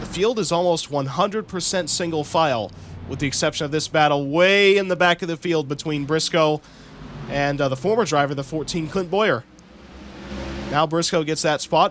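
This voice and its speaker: Over noticeable background noise, a man with an American accent speaks at a moderate pace in a fairly high pitch and an animated tone. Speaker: sim racing YouTuber doing commentary. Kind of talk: mock race broadcast commentary. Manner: casual, animated play-by-play.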